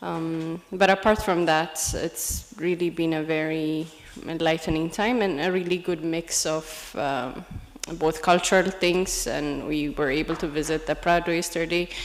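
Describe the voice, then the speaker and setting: Fairly low in pitch, a woman speaks at a fairly slow pace with fairly even intonation over noticeable background noise. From Ethiopia. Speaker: women leader, program participant. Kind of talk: public speech. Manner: hesitant, unprepared.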